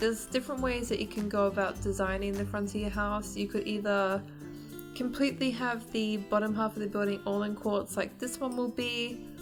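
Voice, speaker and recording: Fairly quick speech with music in the background. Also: woman. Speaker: gaming video creator. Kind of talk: game building tutorial narration.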